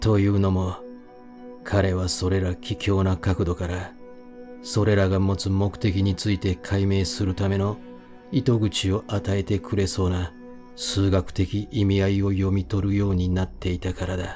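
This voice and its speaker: Music plays in the background as the speaker goes at a fairly slow pace with ordinary pitch variation. The tone is calm and soothing. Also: man, fairly low pitch for a man. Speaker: audiobook reader. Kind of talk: sleep-oriented audiobook reading of a horror novel. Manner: calm, soothing, sleep-inducing.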